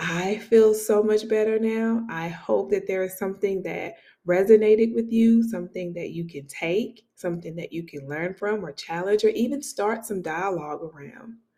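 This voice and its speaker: Soft-spoken at medium pitch, a woman talks at a moderate pace with hardly any pauses, a dark, mellow tone, ordinary pitch variation and big swings in loudness. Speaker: podcast host. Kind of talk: casual monologue. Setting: home studio. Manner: rather quiet.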